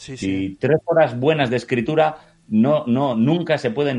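A man's ordinary speaking voice with ordinary pitch variation, a fairly slow pace and a quiet background. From Bilbao, Basque Country, Spain. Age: 30s. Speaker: writer and painter. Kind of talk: casual chat.

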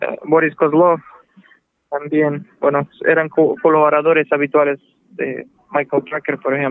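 At a fairly slow pace, a man with a fairly high pitch talks in a monotone, flat intonation. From Cuba (Manzanillo), later Russia. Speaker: jazz saxophonist. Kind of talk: interview. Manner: halting, many fillers.

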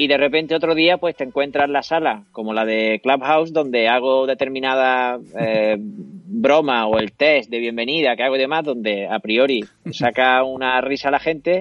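A man speaks at a moderate pace in a plain, everyday voice of medium pitch. He takes hardly any pauses, and his pitch varies in an ordinary way. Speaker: singer-songwriter and radio scriptwriter. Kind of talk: casual interview. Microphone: laptop camera setup, good sound.

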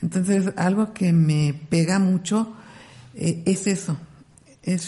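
A woman's somewhat breathy, fairly low-pitched voice, dark and mellow in tone, at a very slow pace with fairly even intonation. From Mexico, Ciudad Nezahualcóyotl (Mexico City area). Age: 40s. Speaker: ultra-distance trail runner. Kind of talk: interview.

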